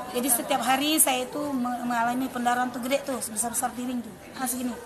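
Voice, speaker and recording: Through noticeable background noise and audible room echo, a woman speaks in a high pitch with monotone, flat intonation. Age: 40s. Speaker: product testimonial giver. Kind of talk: testimony. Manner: halting.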